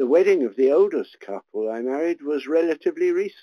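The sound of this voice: Speaking at a fairly quick pace with lively intonation, a man with a fairly high pitch comes through in a dry, close sound with no echo.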